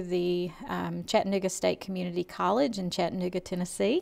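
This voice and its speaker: This woman has medium pitch. She speaks in a Southern US accent. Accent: Southern American. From US South, Georgia (Lawrenceville). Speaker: college administrator. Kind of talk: interview.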